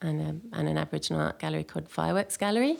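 A woman with an English accent at a very fast pace. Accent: posh, clipped English-sounding. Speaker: environmental consultant and school eco committee leader. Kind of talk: casual interview chat. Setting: studio. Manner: clipped, well-spoken.

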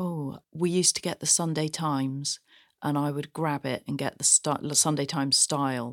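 A woman with a southern English accent speaks at a moderate pace in a very deep, low pitch, her intonation fairly even. The recording is very clean with a silent background, and the sound is dry and close with no echo. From England, Gloucestershire. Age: 40s. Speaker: shoe designer. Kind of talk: interview. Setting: studio.

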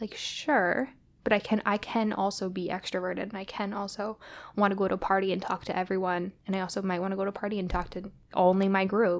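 A woman's medium-pitched voice in monotone, flat intonation, on a very clean recording with a silent background. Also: fairly quick pace. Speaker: podcast host. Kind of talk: casual chat.

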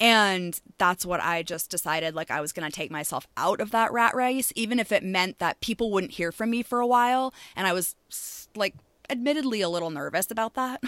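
A woman's ordinary speaking voice with an American accent, medium pitch, lively intonation and a fairly quick pace, in a very clean recording with a silent background and a dry, close sound with no echo. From Maine, US. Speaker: shop owner and podcast host. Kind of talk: casual interview.

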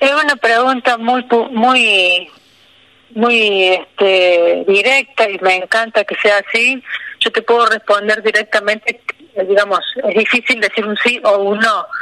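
Over noticeable background noise, a woman speaks at a fairly slow pace in a fairly high pitch with fairly even intonation. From Argentina, Río Tercero, Córdoba. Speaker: wildlife foundation president. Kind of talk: radio interview.

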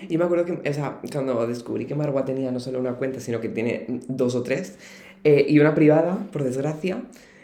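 A man with medium pitch speaks at a fairly quick pace with ordinary pitch variation, amid audible room echo. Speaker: podcast co-host. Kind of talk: casual chat. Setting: university room.

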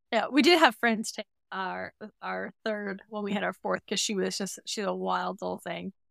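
At a moderate pace, a woman speaks on a very clean recording with a silent background and a dry, close sound with no echo. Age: 30s. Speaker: mother sharing birth stories. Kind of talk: interview, personal birth story.

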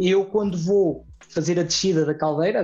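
His pace is fairly quick. The man keeps a fairly even intonation. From Portugal, Vagos (Aveiro district). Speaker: mountain guide. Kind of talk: interview conversation. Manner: talkative.

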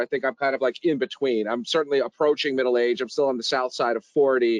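An ordinary speaking voice: a man with an American accent at a medium pitch, fairly quick pace, and dry, close sound with no echo. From New York, the Bronx. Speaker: podcast host. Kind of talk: casual interview.

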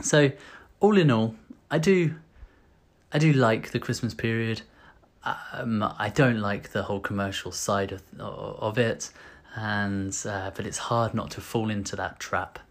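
Speaking in a British accent, a man goes at a fairly slow pace with ordinary pitch variation and long, frequent pauses. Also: medium pitch for a man. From UK. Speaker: vlogger. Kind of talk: casual monologue to camera. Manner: hesitant, many fillers and repetitions.

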